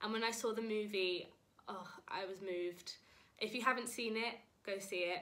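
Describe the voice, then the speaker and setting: A woman speaks at a moderate pace with a British accent, her fairly high voice bright and sharp. Her intonation stays fairly even, broken by long, frequent pauses, and the room echo is audible. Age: 20s. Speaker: musical theatre performer, drama graduate. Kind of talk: casual introduction before song.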